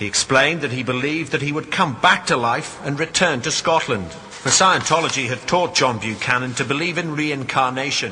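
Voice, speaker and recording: Speaking at a fairly quick pace with hardly any pauses, this voice has ordinary pitch variation over noticeable background noise. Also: man, fairly high pitch for a man. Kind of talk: documentary-style narration.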